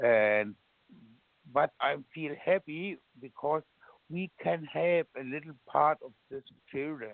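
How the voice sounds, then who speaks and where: With a German accent, a man speaks at a very slow pace with long, frequent pauses. His pitch varies in an ordinary way, and his loudness swings widely. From Germany. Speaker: military veteran. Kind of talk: interview. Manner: halting.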